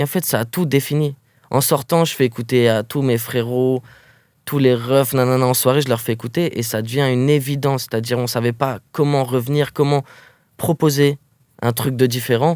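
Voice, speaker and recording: Moderately paced speech comes through on a very clean recording with a silent background. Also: man, medium pitch for a man, fairly even intonation. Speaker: rapper. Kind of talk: interview. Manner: casual, halting with fillers.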